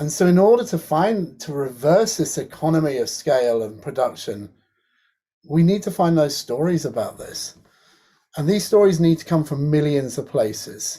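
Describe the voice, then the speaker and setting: This man's voice has a dark, mellow tone and sits fairly high in pitch. His intonation is lively. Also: moderate pace. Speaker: academic in creative technology and design. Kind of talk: online panel presentation.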